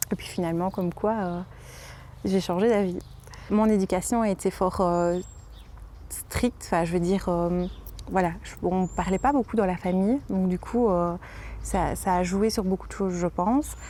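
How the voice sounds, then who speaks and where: At a fairly slow pace with long, frequent pauses, a woman speaks in a dark, mellow tone of medium pitch and fairly even intonation. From Belgium, Liège region. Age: 20s. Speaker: home nurse and mother. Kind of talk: interview testimony. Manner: halting, many hesitations.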